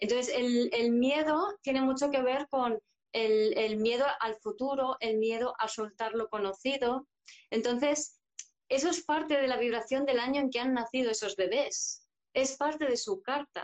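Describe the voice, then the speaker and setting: At a fairly slow pace, a woman speaks at a high pitch with very even loudness and ordinary pitch variation. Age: 50s. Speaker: psychologist and astrologer. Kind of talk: interview conversation. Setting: live video stream.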